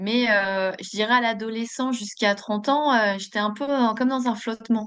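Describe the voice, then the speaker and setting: Against a quiet background, the voice moves at a moderate pace with fairly even intonation. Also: woman, fairly high pitch for a woman. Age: 40s. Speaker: podcast guest, Reiki practitioner. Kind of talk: interview. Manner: hesitant, many fillers.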